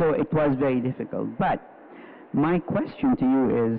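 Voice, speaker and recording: Speech moves at a moderate pace while noticeable background noise carries on behind it. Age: 70s. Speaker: audience member asking a question. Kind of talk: question from the audience.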